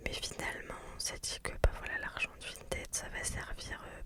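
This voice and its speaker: A woman whispers at a fairly slow pace in a relaxed tone. Noticeable background noise sits behind her. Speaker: ASMR content creator; mother of daughters. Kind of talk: casual chatty talk to camera (blabla), close-mic ASMR. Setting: recorded in a parked car. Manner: soft, relaxed, chatty.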